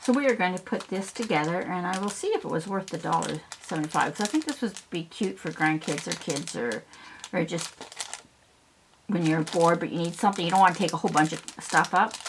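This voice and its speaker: Noticeable background noise sits under a woman speaking at a fairly quick pace, her pitch fairly low with ordinary variation. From south central Ontario, Canada. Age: 60s. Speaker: craft YouTuber. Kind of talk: casual craft tutorial.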